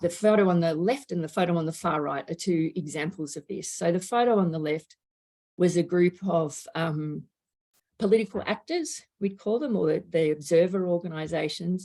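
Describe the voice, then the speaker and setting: In an Australian accent, a woman speaks at a moderate pace with ordinary pitch variation. Her voice is fairly low in pitch, with a dark, mellow tone. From Australia, Melbourne. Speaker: climate education researcher. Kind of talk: lecture.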